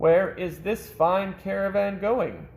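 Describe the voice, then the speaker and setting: A man puts on a character voice, pitched high. He talks fairly slowly in a monotone, flat delivery. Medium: read story.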